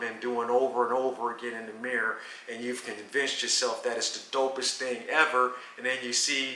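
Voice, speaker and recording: Amid noticeable background noise and audible room echo, a man of medium pitch speaks at a moderate pace with fairly even intonation. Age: 60s. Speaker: veteran street dancer (popper). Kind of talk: casual interview.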